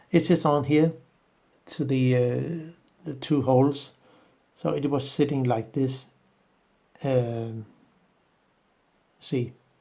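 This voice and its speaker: Someone with a non-native accent speaks at a very slow pace. Long pauses come often. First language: not English. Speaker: camera and lens repair tutor. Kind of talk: tutorial. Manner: halting.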